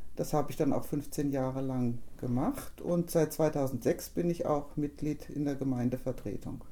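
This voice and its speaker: Her voice very deep and low with a dark, mellow tone, a woman speaks fairly slowly with fairly even intonation and very even loudness. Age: 50s. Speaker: local politician. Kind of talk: interview.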